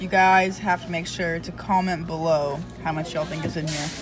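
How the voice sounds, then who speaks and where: A woman speaks at a fairly quick pace with music playing in the background. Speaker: vlogger. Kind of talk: casual vlog chat. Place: street. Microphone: phone near.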